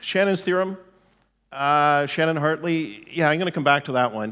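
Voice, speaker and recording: In a very clean recording with a silent background, a man with a normal speaking voice and a fairly high pitch talks at a moderate pace. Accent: Canadian. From Canada. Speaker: telecom executive, conference keynote speaker. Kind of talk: conference keynote talk. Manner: conversational, with frequent fillers.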